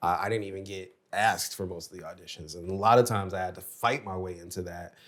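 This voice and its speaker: The speaker has a Chicago accent and talks at a very fast pace with fairly even intonation but big swings in loudness. The recording is very clean, with a silent background. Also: man, very deep, low pitch for a man. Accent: American, Chicago. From US Midwest, Chicago. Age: 50s. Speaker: actor. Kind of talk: casual chat.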